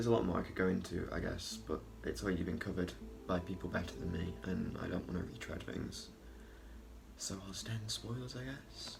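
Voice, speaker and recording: Very deep, low male voice with very wide pitch swings, a fairly quick pace and audible room echo. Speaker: film reviewer. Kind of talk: casual video review monologue.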